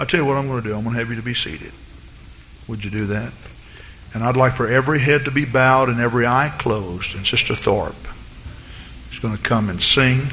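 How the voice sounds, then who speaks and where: Against noticeable background noise, a man with a slight Southern US accent speaks very fast at a medium pitch, using fairly even intonation and long, frequent pauses. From US South, east Texas. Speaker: pastor. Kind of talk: sermon. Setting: church.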